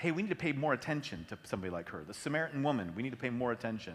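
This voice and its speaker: At a very fast pace, a man speaks with vocal fry and very wide pitch swings. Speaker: pastor and leadership consultant. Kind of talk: church Q&A session.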